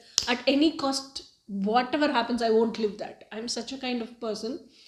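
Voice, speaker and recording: A woman speaks at a moderate pace in a high pitch with a Tamil accent over noticeable background noise. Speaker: spiritual YouTuber. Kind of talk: personal testimony monologue. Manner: halting, many fillers.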